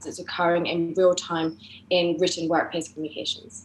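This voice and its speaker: A woman with an English accent, fairly low in pitch, fairly quick and monotone, amid noticeable background noise. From England, grew up in France. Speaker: tech startup co-founder and CTO. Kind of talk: interview podcast.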